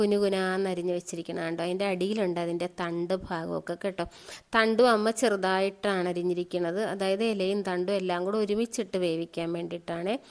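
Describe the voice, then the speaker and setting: Medium-pitched female speech, monotone and flat, on a very clean recording with a silent background. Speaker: vlogger and mushroom grower. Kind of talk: casual vlog narration.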